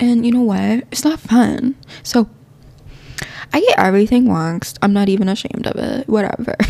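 Noticeable background noise surrounds a woman speaking at a fairly high pitch. She keeps a moderate pace with ordinary pitch variation and long, frequent pauses. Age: 20s. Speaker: podcast host. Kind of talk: casual monologue. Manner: animated.

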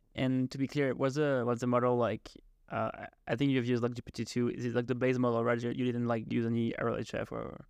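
A man with a French accent, very fast and monotone, flat in intonation, at a medium pitch. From France. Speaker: podcast host. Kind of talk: interview. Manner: halting.

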